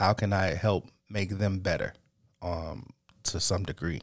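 A man with a fairly low pitch at a fairly slow pace. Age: 30s. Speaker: podcast host. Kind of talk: solo monologue, motivational talk. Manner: unscripted, halting with fillers.

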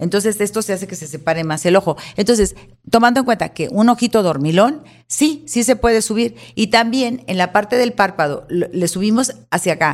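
This woman has a normal speaking voice at a medium pitch. Her intonation is lively and her pace fairly quick. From Mexico, Monterrey. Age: 60s. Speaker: celebrity stylist and salon owner. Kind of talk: casual interview.

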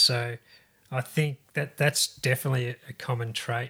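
Speaking at a moderate pace and medium pitch, a man with an Australian accent has a bright, sharp tone, recorded very cleanly with a silent background. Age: 50s. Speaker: podcast host and cycling charity founder. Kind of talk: casual interview.

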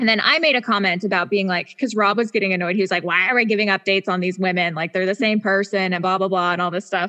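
With an American accent, the speaker races at a very fast pace with hardly any pauses and very even loudness, over noticeable background noise. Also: woman, medium pitch for a woman, ordinary pitch variation. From Washington State, Spokane. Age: 30s. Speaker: podcast co-host. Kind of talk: casual chat. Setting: remote recording.

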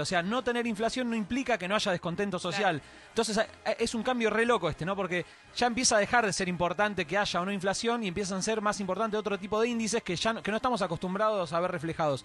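A man with a Rioplatense accent talks at a very fast pace. His pitch is high with ordinary variation, over noticeable background noise. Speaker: radio panelist. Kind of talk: opinion commentary. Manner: halting.

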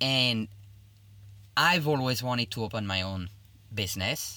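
On a very clean recording with a silent background, a man with a French accent speaks at a fairly slow pace, medium in pitch, with lively intonation. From Belgium, Liège (French-speaking). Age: 30s. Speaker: chef. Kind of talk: interview.

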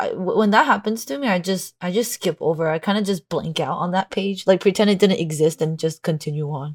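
Somewhat breathy, a woman speaks at a medium pitch and a fairly quick pace with ordinary pitch variation. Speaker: podcast co-host, convention artist vendor. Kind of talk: casual chat.

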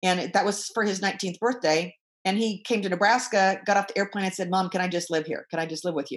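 This woman has a medium pitch and speaks at a very fast pace. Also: ordinary pitch variation. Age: 60s. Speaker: business coach. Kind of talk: interview.

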